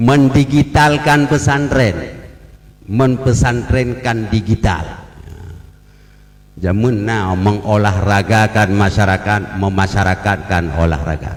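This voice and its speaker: Amid noticeable background noise, a man with an Aceh accent talks at a very slow pace and a fairly low pitch, with ordinary pitch variation. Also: very even loudness. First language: Acehnese (speaking Indonesian). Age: 60s. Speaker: religious leader speaking at ceremony. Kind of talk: ceremonial speech. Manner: humorous, conversational.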